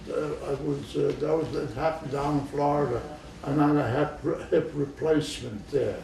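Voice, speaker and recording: Noticeable background noise beneath a man's fairly slow talking. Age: 80s+. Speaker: retired physician. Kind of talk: interview answer. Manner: halting, hesitant.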